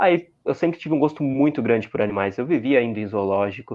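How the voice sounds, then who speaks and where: In an ordinary speaking voice, a man talks at a fairly quick pace with lively intonation. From Santa Catarina, southern Brazil. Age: 20s. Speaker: content creator. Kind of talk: interview.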